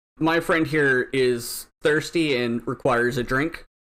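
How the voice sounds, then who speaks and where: A put-on character voice sits at a low-to-middle pitch and moves at a fairly slow pace. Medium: actual play.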